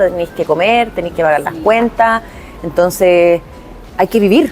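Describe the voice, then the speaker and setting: Music plays in the background as a woman with a Chilean accent speaks at a fairly slow pace. Her medium pitch shows ordinary variation. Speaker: actress and voice-over artist. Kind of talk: interview answer. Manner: casual, colloquial.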